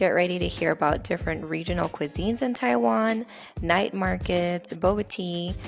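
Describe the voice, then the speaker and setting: With music in the background, a woman speaks in a fairly low pitch at a moderate pace. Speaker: podcast host. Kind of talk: podcast intro.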